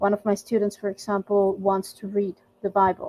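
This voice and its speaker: A woman with a Spanish accent speaks at a moderate pace in a dark, mellow tone of medium pitch, her intonation monotone and flat, in a dry, close sound with no echo. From Mexico. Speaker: volunteer language mentor. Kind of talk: casual group discussion. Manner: hesitant, many fillers and repeats.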